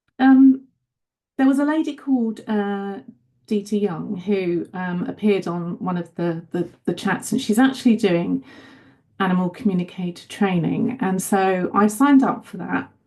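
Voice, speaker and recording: A woman with a British accent speaks at a medium pitch and moderate pace. Her tone is dark, mellow and somewhat breathy. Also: lively intonation. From UK. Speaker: caller. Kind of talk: personal question. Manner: halting.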